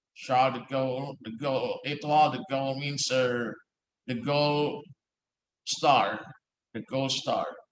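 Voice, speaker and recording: A man with an American accent speaks at a fairly slow pace and a fairly high pitch, leaving long, frequent pauses. His intonation is fairly even, and there is audible room echo. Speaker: law professor. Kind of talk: lecture. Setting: office. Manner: halting.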